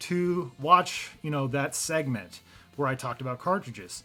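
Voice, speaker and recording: Over music in the background, a man speaks in a fairly high pitch with ordinary pitch variation. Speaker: gaming YouTuber. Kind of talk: casual video commentary.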